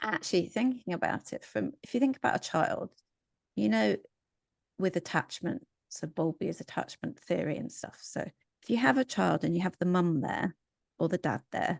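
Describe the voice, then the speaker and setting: With a fairly low pitch, very wide pitch swings and vocal fry, a woman in an English accent speaks in a dry, close sound with no echo over a quiet background. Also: moderate pace. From England. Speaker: psychologist. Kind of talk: casual chat.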